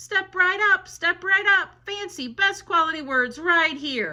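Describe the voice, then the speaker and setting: Using a put-on character voice, a woman speaks loudly at a fairly slow pace, her extremely high pitch marked by lively intonation. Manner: booming, hawking.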